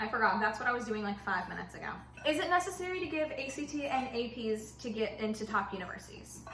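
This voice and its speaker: With a Southern US accent, a woman speaks at a fairly quick pace in a fairly high, animated voice with lively intonation, amid noticeable background noise and audible room echo. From US South. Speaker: YouTuber, recent high school graduate. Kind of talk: casual vlog Q&A while baking.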